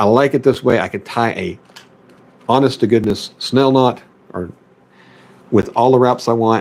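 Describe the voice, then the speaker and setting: With a Southern US accent, a man speaks at a medium pitch and a moderate pace, his intonation fairly even. He leaves long, frequent pauses. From US South, Memphis, Tennessee area. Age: 30s. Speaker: fishing streamer. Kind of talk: tutorial. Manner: casual.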